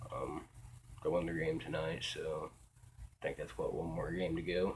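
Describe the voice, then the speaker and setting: Quiet and at a moderate pace, a man speaks with an American accent. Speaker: vlogger. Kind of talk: casual monologue. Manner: halting, many fillers.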